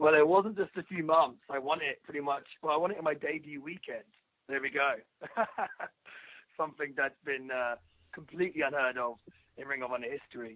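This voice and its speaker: A man with an English accent talks fairly quickly at a fairly high pitch, leaving long, frequent pauses. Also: ordinary pitch variation. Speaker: professional wrestler. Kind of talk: interview. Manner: halting.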